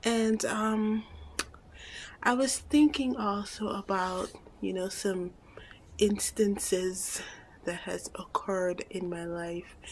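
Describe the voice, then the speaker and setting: A woman's whispering at a very slow pace, with long, frequent pauses. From Guyana. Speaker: vlogger. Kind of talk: casual vlog monologue. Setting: at home.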